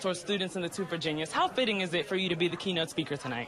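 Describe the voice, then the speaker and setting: Noticeable background noise surrounds a woman who speaks with an American accent. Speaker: television news reporter, multimedia journalist. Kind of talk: TV news reporter package and standup.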